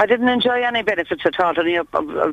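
This woman talks at a fairly quick pace. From England, born in Ireland. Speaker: traveller resident. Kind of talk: interview.

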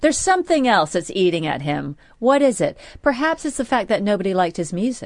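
A woman with an American accent speaks at a fairly high pitch and a fairly quick pace. Her pitch swings very widely against a quiet background. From United States. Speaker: radio co-host. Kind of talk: late-night talk radio chat. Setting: radio studio.

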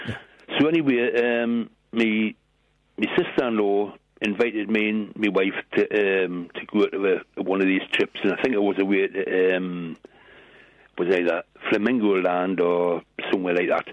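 A man's fairly low voice in a strong British accent, with ordinary pitch variation and long, frequent pauses. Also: moderate pace. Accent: strong regional British. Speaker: caller. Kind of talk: casual chat. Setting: phone call.

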